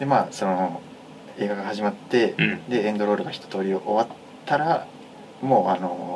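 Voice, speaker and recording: With noticeable background noise behind him, a man of fairly low pitch speaks at a moderate pace, leaving long, frequent pauses. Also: ordinary pitch variation. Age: 20s. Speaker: pianist and university student. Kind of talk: casual chat. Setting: recording studio.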